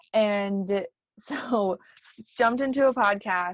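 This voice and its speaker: This woman has a normal speaking voice at a medium pitch with ordinary pitch variation, and the sound is dry and close with no echo. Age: 30s. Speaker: podcast co-host and education center manager. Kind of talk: casual chat.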